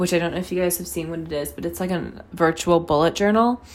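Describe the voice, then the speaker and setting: Noticeable background noise sits behind a woman with a fairly low pitch and an animated tone. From North Carolina. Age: 20s. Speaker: podcast host, college student. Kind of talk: casual solo talk. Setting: bathroom at home. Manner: animated, frequent laughs. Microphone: echoey room, close to mic.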